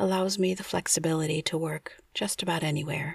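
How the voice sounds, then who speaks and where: A woman's somewhat breathy, fairly low voice with an American accent, ordinary pitch variation and a moderate pace. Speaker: ASMR bedtime storyteller. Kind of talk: bedtime story narration, travelogue read in a calm, soothing, hushed tone.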